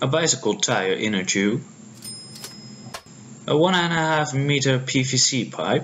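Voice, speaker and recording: With noticeable noise behind him, a man speaks fairly slowly with lively intonation, very even loudness, and long, frequent pauses. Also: medium pitch for a man. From Netherlands. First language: Dutch. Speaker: prop maker. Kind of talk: tutorial narration.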